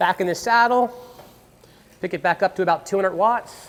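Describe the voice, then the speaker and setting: Ordinary pitch variation at a fairly quick pace. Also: man, high pitch for a man. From Pennsylvania, USA. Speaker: professional bike fitter. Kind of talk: instructional demonstration narration. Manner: casual, conversational, with fillers.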